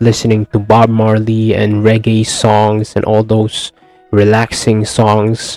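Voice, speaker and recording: Recorded with a dry, close sound and no echo, a man with a Filipino accent talks at a fairly slow pace in a medium pitch. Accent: Filipino accent, non-native English. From Philippines. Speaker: recovering addict sharing his story. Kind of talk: personal testimony. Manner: halting, with many fillers and repeats.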